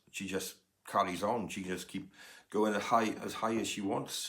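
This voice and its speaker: The man speaks with a Welsh accent. His pitch is fairly low, and his intonation is fairly even. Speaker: music podcaster, vinyl collector, former music agent. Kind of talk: casual record collection review. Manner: hesitant, many fillers.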